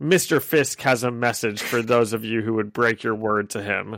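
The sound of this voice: A man uses a put-on character voice at medium pitch. He keeps a moderate pace.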